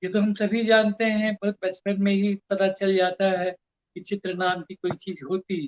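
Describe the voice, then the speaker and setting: Dry and close with no echo, a man with a high pitch speaks at a moderate pace in a monotone, flat intonation. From India, Kolkata. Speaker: poet and art critic. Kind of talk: interview talk, reminiscence.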